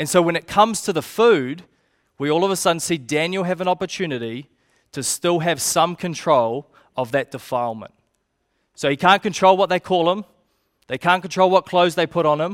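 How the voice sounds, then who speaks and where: A man with a high pitch and a New Zealand accent speaks at a fairly quick pace with ordinary pitch variation. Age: 20s. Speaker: youth pastor. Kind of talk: sermon. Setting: church.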